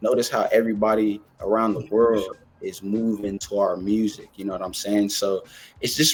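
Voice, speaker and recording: Here a man talks at a moderate pace and fairly low pitch. The recording is very clean, with a silent background. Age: young. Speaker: music platform founder. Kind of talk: podcast interview. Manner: animated.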